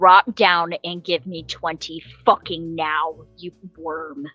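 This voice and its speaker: A woman shouts in a put-on character voice with a fairly low pitch, going at a very slow pace. Faint music plays in the background. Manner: yelling, intimidating.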